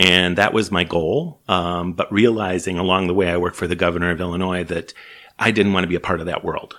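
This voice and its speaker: A man's very deep, low voice with a Chicago accent, fairly quick and monotone with flat intonation. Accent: Chicago American. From US Midwest, Chicago. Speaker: small business organization CEO. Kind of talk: interview.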